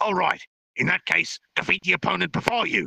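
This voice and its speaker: A man does a put-on character voice at a fairly quick pace, his loudness very even and the sound dry and close with no echo. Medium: read story. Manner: curt, businesslike.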